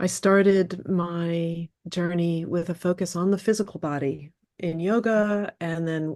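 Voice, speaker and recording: A woman's fairly low, dark, mellow voice, fairly slow in pace with fairly even intonation. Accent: American. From upstate New York. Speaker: movement and wellness coach. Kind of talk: interview conversation.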